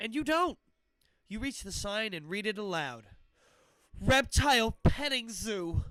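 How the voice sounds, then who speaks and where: A man speaks in a high, raised, projected voice with a bright, sharp tone. His loudness swings widely and he leaves long, frequent pauses. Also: lively intonation, fairly slow pace. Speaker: livestream book reader. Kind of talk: children's horror book read aloud.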